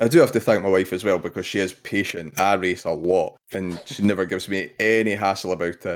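Fairly quick speech with an Edinburgh accent, fairly even intonation and hardly any pauses, on a very clean recording with a silent background. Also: man, very deep, low pitch for a man. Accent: Scottish (Edinburgh). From Scotland, Edinburgh. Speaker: RC car racer. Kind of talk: casual chat.

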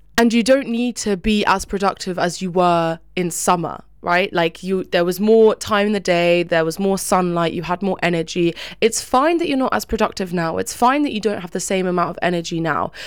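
A woman talks in a normal speaking voice at medium pitch, with ordinary pitch variation and a moderate pace. She hardly pauses, and the recording is very clean with a silent background. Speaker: podcast co-host. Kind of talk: pep talk. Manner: warm, encouraging, affectionate.

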